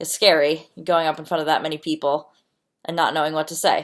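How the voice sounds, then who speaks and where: A woman with a very deep, low pitch at a fairly quick pace, in a very clean recording with a silent background. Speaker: student. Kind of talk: class presentation. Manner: halting, stutters and says um; reading from notes.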